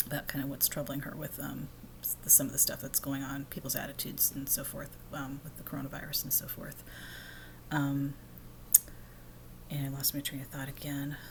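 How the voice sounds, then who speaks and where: Soft-spoken and very deep in pitch, a woman talks at a fairly quick pace in a monotone, flat intonation, with long, frequent pauses. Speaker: vlogger. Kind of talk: casual monologue. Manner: soft-spoken, talking low; halting, many fillers.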